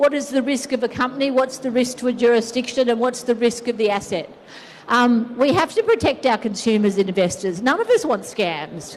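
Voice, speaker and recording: In an Australian accent, a woman talks at a fairly quick pace with a high pitch and ordinary pitch variation over noticeable background noise. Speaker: conference speaker, regulatory adviser. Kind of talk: conference talk.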